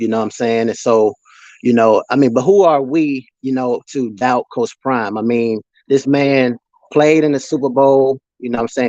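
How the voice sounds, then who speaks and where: In a Mississippi accent, a voice with a dark, mellow tone speaks at a moderate pace, sounding dry and close with no echo. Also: man. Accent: US Southern, Mississippi. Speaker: sports livestreamer. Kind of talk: casual live stream chat. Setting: live stream reading chat comments.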